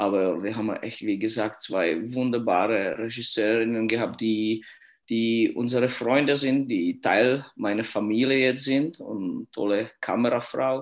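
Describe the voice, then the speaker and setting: A man with a Czech accent, medium pitch, ordinary pitch variation and a fairly slow pace, on a very clean recording with a silent background. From Czech Republic (Litvinov). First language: Czech (speaking German). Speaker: youth ice hockey coach. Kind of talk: interview. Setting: at home. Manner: halting.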